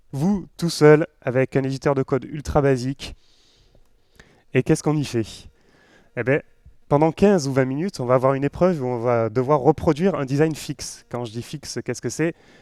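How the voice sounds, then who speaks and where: With an unremarkable speaking voice, a man talks at a moderate pace in a fairly high pitch, his loudness swinging widely while his pitch varies in an ordinary way, all in a dry, close sound with no echo. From western France (Nantes). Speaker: web developer, conference speaker. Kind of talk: tech conference talk. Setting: stage with live audience. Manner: casual, joking, with many fillers.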